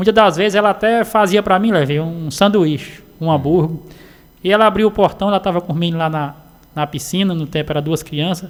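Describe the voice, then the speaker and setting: A fairly quick pace with ordinary pitch variation. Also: man, high pitch for a man. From Sertão of Paraíba, northeastern Brazil. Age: 40s. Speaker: roadside vendor. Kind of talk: radio interview. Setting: radio studio.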